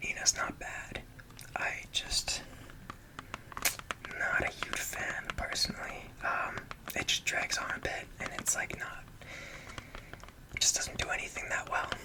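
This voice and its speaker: Whispering at a fairly slow pace in a relaxed tone, with long, frequent pauses and noticeable background noise. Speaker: ASMR content creator. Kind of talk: ASMR whispered rambling about a CD collection. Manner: whispered, relaxed, casual.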